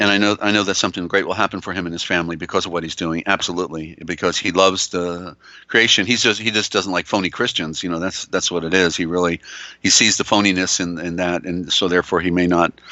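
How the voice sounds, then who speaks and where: A man talks very fast in a very deep, low, monotone voice with flat intonation. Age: 60s. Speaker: radio host. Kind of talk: casual chat. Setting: live broadcast. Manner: halting, many fillers.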